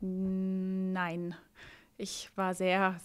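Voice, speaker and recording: A woman talks against a quiet background. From Baden, Germany. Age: 30s. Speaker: mayoral candidate, lawyer; candidate. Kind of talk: rapid-fire interview; interview answer. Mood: cheerful, smiling. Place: office. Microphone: handheld.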